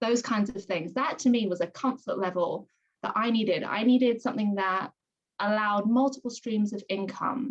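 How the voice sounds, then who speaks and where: With a British accent, a woman speaks at a moderate pace in a fairly high, somewhat breathy voice with ordinary pitch variation. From London, England. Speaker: direct sales consultant. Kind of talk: video call testimony.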